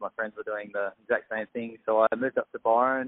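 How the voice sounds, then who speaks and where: In an Australian accent, a man speaks at a fairly quick pace. His pitch is medium. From Australia, south of Sydney. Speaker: chef and health coach. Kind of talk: casual interview.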